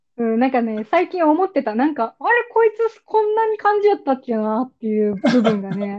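Her high pitch swings very widely as the woman talks at a fairly quick pace. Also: hardly any pauses, big swings in loudness. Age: 20s. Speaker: podcast host. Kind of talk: casual chat.

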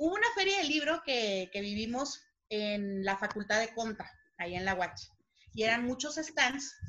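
Her tone bright and sharp, a woman speaks at a fairly high pitch with lively intonation. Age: 30s. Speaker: actress and playwright. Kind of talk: casual chat.

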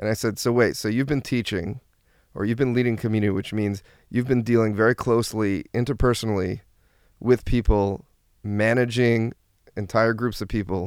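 The recording is very clean, with a silent background. The speaker has a New Jersey accent and keeps a moderate pace. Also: man, medium pitch for a man. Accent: New Jersey American English. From US Northeast (New Jersey). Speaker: therapist and brand strategist. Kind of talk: interview. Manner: frequent fillers and hesitations.

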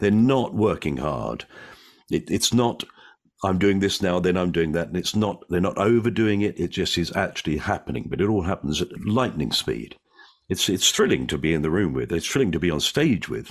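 A man with a very deep, low voice and vocal fry talks at a moderate pace, his pitch swinging very widely, against a quiet background. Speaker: comedian and actor. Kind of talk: casual interview chat. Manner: witty, joking.

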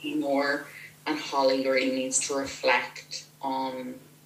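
A woman's voice amid noticeable background noise. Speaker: author of novels. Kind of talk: casual interview.

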